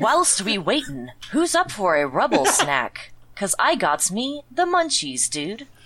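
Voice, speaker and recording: A put-on character voice drawls at a fairly slow pace and a fairly high pitch, with very wide pitch swings. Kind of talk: comic overacting. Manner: drawling slacker dude-speak.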